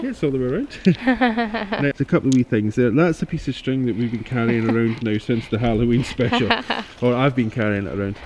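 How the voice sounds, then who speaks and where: With noticeable noise in the background, a medium-pitched man races along very fast, his pitch varying in an ordinary way. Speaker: mudlarker. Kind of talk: casual conversation. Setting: outdoors.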